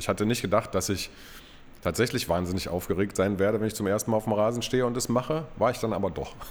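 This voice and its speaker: Very fast delivery carries ordinary pitch variation. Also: man. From East Berlin. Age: 40s. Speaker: football club stadium announcer and press spokesman. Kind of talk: casual interview.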